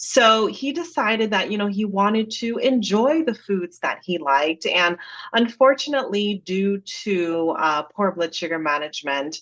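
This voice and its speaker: A woman with an American accent speaks at a moderate pace in a medium pitch, her pitch swinging very widely and hardly pausing at all. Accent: slight Jamaican accent over American. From Jamaica. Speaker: dietitian. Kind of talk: podcast interview.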